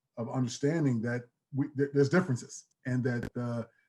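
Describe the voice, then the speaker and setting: A man speaks with a New York accent at a medium pitch. His voice is somewhat breathy. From New York (Queens, Long Island). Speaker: athletic director, former college football player. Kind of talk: panel discussion. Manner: halting, many fillers.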